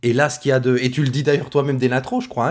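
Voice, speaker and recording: A somewhat breathy man with a regional French accent, on a very clean recording with a silent background. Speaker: podcast host, teacher. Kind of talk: casual chat.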